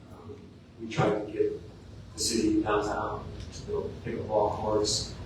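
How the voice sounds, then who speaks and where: Noticeable background noise and audible room echo surround a man who speaks at a fairly slow pace with fairly even intonation. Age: 60s. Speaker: city council applicant. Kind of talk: interview. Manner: halting.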